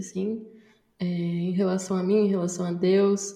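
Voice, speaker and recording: A woman speaks at a medium pitch. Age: 20s. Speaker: journalism student and podcaster. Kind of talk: casual chat.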